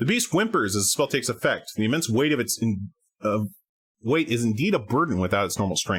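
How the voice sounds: In a natural reading voice with lively intonation, the speaker reads over a quiet background.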